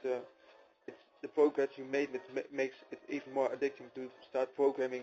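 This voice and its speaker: A man's flat, monotone delivery at a moderate pace, with a non-native accent. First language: not English. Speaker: programmer. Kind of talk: personal testimony. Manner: hesitant with many fillers.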